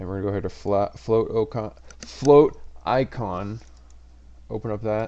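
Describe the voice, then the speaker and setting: A man speaks at a fairly low pitch with a dark, mellow tone, ordinary pitch variation, and long, frequent pauses. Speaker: tech tutorial youtuber. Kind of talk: tutorial. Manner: fast; casual.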